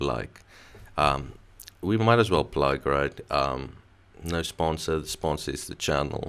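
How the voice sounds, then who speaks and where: Over a very clean recording with a silent background, a man speaks very slowly in a very deep, low pitch with vocal fry and long, frequent pauses. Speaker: YouTube commentator. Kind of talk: casual channel plug. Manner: low energy.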